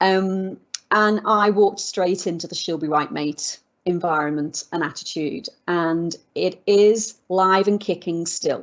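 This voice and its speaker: A woman in a British accent, medium pitch, fairly even intonation, fairly slow pace. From UK. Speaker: legal expert and business founder. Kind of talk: interview conversation.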